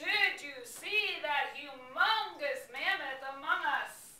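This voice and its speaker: A put-on character voice goes at a very slow pace with a slight echo. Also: woman, high pitch for a woman. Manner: loud.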